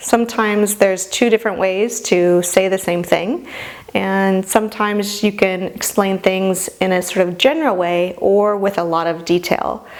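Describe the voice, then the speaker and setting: Noticeable background noise sits behind the speech. A woman talks with fairly even intonation. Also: medium pitch for a woman, moderate pace. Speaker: medical instructor. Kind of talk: lecture. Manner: casual.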